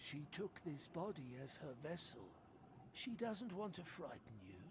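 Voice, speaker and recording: Over clear background noise, a man does a put-on character voice at a high pitch. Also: moderate pace. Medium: video game. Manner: speaks of herself in third person, cryptic.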